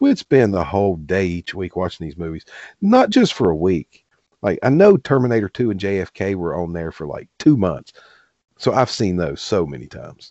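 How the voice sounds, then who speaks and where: In a Southern US accent, a man with a very deep, low pitch speaks at a moderate pace with lively intonation and big swings in loudness. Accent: Southern American. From US South, southwest Virginia. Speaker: podcast co-host. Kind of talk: casual chat.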